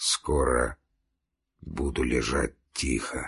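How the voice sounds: Putting on a character voice, a man speaks slowly at an extremely low pitch with fairly even intonation and a fairly bright tone. His voice is breathy and hoarse, with vocal fry and a husky, rough edge. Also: very clean recording, silent background.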